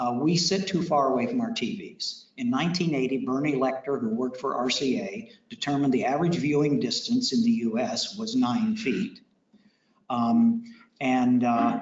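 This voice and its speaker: A man's fairly high, somewhat breathy voice at a moderate pace, with very wide pitch swings and audible room echo. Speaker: technology presenter. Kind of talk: technical presentation to audience.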